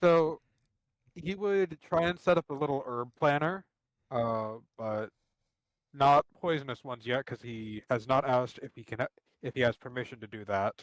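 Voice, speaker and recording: A quiet, medium-pitched man at a moderate pace, lively in intonation, with big swings in loudness, long, frequent pauses and a dry, close sound with no echo. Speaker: tabletop role-player. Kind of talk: role-play description during live game. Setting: live stream.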